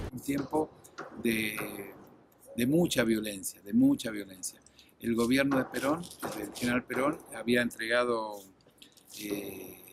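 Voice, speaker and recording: At a very slow pace with long, frequent pauses, a man speaks at a medium pitch and ordinary pitch variation over noticeable background noise. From Argentina. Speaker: former air force officer. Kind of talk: testimony.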